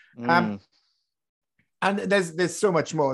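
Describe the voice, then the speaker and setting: A man talks with a British accent. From Britain. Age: 30s. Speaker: podcast host. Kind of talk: casual chat; interview.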